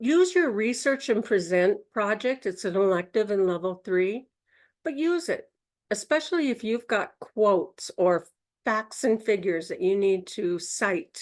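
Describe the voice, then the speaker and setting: With a Minnesota accent, a woman speaks at a fairly slow pace and a fairly high pitch, her voice making very wide pitch swings over a quiet background. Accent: Minnesota Midwest voice. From Minnesota, US Midwest. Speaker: Toastmasters speaker, workshop presenter. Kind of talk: educational talk at a Toastmasters session. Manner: instructive, conversational.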